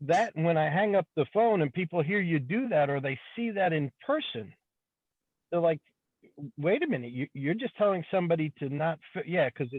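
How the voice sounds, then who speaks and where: A man with a high pitch and lively intonation at a moderate pace. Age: 60s. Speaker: auto repair shop owner. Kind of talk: open forum discussion. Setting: in a car. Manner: halting, repeats words.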